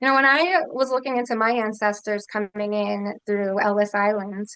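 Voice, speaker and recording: A woman with an ordinary speaking voice talks at a moderate pace. She has an American accent and a medium pitch. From Philadelphia, US Northeast. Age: 30s. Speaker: congressional candidate. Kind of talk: interview.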